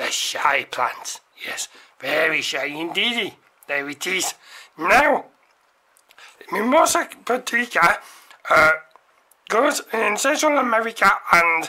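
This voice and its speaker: In a cartoonish character voice of fairly high pitch, the speaker moves at a fairly slow pace with very wide pitch swings and long, frequent pauses. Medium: puppet show. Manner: formal, pedantic, tag questions.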